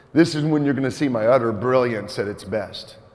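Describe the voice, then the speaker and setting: Noticeable background noise and audible room echo surround a man speaking in an animated tone. He talks at a fairly quick pace with ordinary pitch variation. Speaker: volleyball coach running a clinic. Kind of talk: coaching clinic presentation. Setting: gym clinic with audience, mic'd up. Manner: loud.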